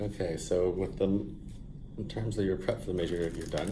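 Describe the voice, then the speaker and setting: A man with a very deep, low voice speaks with ordinary pitch variation, and audible echo fills the room. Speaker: peer academic advisor. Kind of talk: mock advising session. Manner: hesitant, many fillers.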